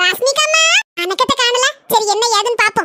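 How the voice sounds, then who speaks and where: A woman puts on a cartoonish character voice, squeaky and extremely high in pitch. She keeps a moderate pace. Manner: warm, chatty, affectionate.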